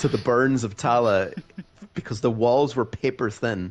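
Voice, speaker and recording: A man with a Donegal accent, medium pitch, ordinary pitch variation, and a moderate pace. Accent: Donegal Irish. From Ireland, County Donegal. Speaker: sim racing driver. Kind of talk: casual chat. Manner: animated.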